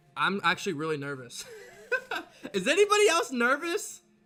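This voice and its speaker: A man speaks at a moderate pace in a raised, projected, animated voice that is bright and sharp in tone. His pitch is extremely high and swings very widely. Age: 20s. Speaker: sports streamer. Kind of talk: live stream chat.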